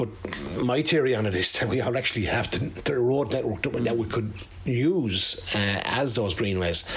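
A man with an Irish accent speaks at a moderate pace and medium pitch, with ordinary pitch variation and very even loudness, amid audible room echo and noticeable background noise. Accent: Irish, Carlow. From Ireland, County Carlow. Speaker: former football manager and cyclist. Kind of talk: radio interview.

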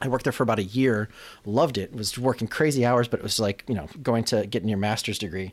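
This man talks very fast in a fairly low voice, with an American accent. The recording is very clean, with a silent background. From Chicago, south side. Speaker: motion design creative director. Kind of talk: interview conversation. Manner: halting, many repetitions and fillers.

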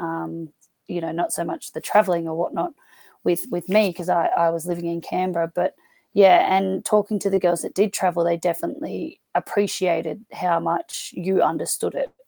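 In an Australian accent, a woman with a fairly low pitch and a dark, mellow tone speaks at a moderate pace with fairly even intonation, the sound dry and close with no echo. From Australia, rural New South Wales. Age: 30s. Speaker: footballer, rugby player and school teacher. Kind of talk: casual chat.

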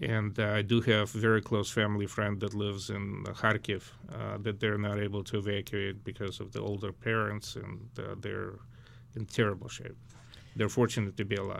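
A man talks at a moderate pace in a fairly low pitch. His intonation is monotone and flat, with vocal fry. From Ukraine, Lviv. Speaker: charity organizer. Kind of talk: interview.

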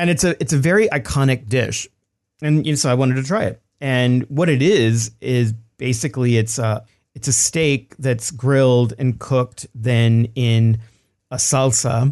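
A man with a Texan accent talks at a medium pitch. His loudness stays very even over a quiet background. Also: ordinary pitch variation, moderate pace. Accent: Texan American. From Texas. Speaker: cookbook author. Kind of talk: interview.

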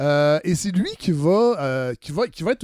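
A man with a Quebec accent and very wide pitch swings. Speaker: podcast host. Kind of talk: interview.

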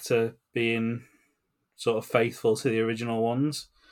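In a very clean recording with a silent background, a man speaks in an English accent with monotone, flat intonation. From England. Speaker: podcast host. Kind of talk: casual chat.

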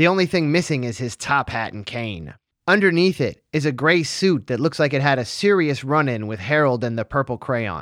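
An unremarkable speaking voice from a man with an American accent, fairly high pitch and lively intonation, at a moderate pace with hardly any pauses. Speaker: podcast host. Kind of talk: casual chat, recap podcast. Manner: casual, profane.

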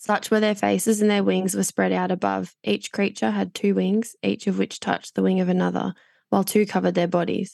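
This woman talks at a fairly quick pace with an Australian accent. Her loudness stays very even, and the recording is very clean with a silent background. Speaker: Bible podcast co-host. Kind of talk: casual chat.

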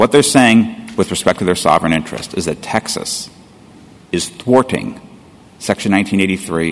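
Noticeable background noise sits behind a man with a very deep, low pitch. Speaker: lawyer for interveners. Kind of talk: appellate oral argument. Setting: courtroom.

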